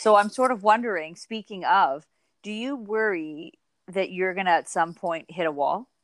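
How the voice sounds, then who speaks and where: Heard on a very clean recording with a silent background, a woman uses an ordinary speaking voice at a medium pitch with ordinary pitch variation. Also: moderate pace. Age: 40s. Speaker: podcast co-host, small business owner. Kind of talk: casual chat.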